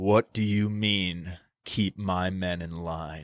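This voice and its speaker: Using a put-on character voice, a man speaks at a very slow pace in a very deep, low pitch with monotone, flat intonation. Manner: dark, ominous.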